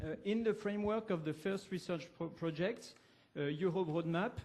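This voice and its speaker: In a room with audible echo, a man with a French accent speaks at a high pitch. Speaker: academic researcher. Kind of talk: conference presentation. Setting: university lecture hall. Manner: halting, many fillers.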